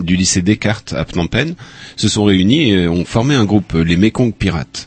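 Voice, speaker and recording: The speaker is a man with a very deep, low pitch. It varies in an ordinary way. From Upper Brittany, France. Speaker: audiovisual archivist. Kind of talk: interview.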